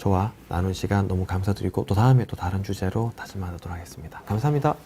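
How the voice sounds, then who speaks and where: A man is speaking. His pitch varies an ordinary amount. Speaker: orthopedic spine doctor. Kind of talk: live Q&A lecture. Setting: live stream. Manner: fast.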